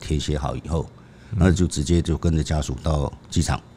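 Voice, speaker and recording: A man's voice, very deep and low in pitch. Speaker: veteran crime reporter, co-host. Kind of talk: storytelling in conversation.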